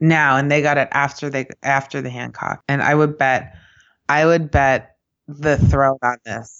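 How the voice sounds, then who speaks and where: A woman talks at a fairly slow pace with very deep, low pitch. Her intonation stays monotone and flat. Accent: slight New York. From US Midwest, Kansas City. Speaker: podcast co-host. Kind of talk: casual chat.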